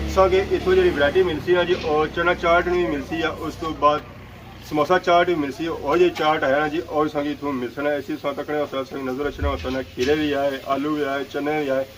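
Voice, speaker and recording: Noticeable background noise surrounds a man with a fairly high voice who speaks at a moderate pace and with fairly even intonation. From Azad Kashmir, Dadyal area. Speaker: vlogger. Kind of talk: vlog.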